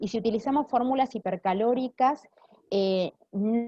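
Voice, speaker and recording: At a fairly slow pace, a woman with an unremarkable speaking voice talks with ordinary pitch variation. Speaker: clinical nutritionist. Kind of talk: Q&A after a lecture.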